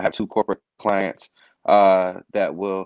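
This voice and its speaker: A man's fairly low voice at a moderate pace, dry with no echo, over a quiet background. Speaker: podcast guest. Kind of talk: interview answer. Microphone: video call.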